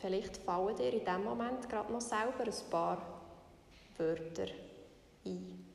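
A woman speaks at a fairly slow pace in a calm, soothing tone with lively intonation and long, frequent pauses. Noticeable background noise is present. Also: medium pitch for a woman. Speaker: meditation guide podcaster. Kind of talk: guided meditation. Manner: slow, calm, soothing, gently paced with long pauses.

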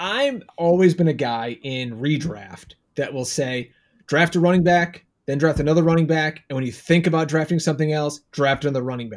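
A man with a fairly high pitch delivers his words at a moderate pace, showing ordinary pitch variation in a normal speaking voice. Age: 40s. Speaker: fantasy football podcaster and writer. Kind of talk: casual chat.

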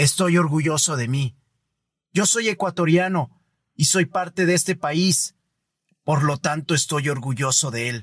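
On a very clean recording with a silent background and a dry, close sound with no echo, a man with a fairly high pitch speaks at a fairly slow pace, using ordinary pitch variation and long, frequent pauses. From Ecuador. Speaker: podcast host. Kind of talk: scripted reflective monologue. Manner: formal.

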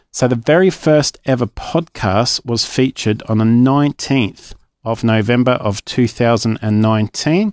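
A man with an Australian accent at a fairly slow pace, hardly any pauses, very even loudness and ordinary pitch variation, in a dry, close sound with no echo on a very clean recording with a silent background. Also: medium pitch for a man. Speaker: children's story podcast host. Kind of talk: casual announcement to listeners. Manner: casual, chatty with hesitations.

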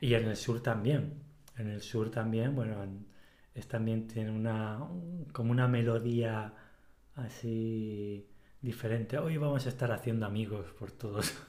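Speaking with a Spanish Mediterranean accent, a man at a medium pitch talks fairly slowly in a dark, mellow, somewhat breathy tone, his intonation fairly even, with long, frequent pauses and audible room echo. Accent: Spanish Mediterranean coast. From Spain. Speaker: podcast co-host. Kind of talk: casual chat.

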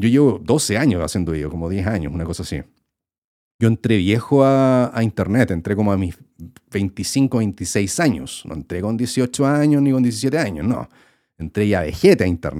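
A man with a Chilean accent, fairly low and dark, mellow in tone, at a moderate pace with very wide pitch swings. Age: 30s. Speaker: YouTuber and podcast host. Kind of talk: casual solo podcast monologue. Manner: casual, filler-heavy with repetitions.

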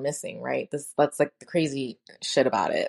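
The recording sounds dry and close, with no echo. A speaker with an American accent talks at a fairly quick pace with ordinary pitch variation. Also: woman, quiet background. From New York City (Brooklyn). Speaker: podcast host and former teacher in recovery. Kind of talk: personal testimony monologue. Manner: casual, conversational.

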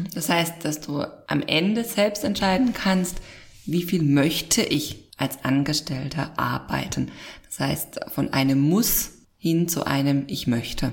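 A woman talks very slowly in a very deep, low voice with lively intonation. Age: 30s. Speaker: podcast host. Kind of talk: casual chat.

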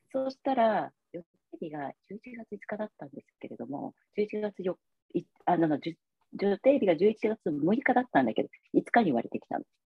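Speaking at a moderate pace and medium pitch, a woman uses vocal fry, very wide pitch swings and big swings in loudness. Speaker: massage therapist. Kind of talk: interview testimony. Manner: hesitant, many fillers.

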